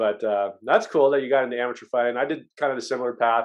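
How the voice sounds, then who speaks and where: A man talks fairly quickly in a plain, everyday voice with fairly even intonation. The background is quiet. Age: 40s. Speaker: podcast host. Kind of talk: casual chat.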